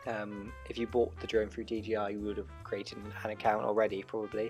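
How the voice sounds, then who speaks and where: Music plays in the background as a man speaks at a moderate pace, fairly low in pitch with ordinary pitch variation. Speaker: first-time drone owner. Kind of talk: tutorial voiceover.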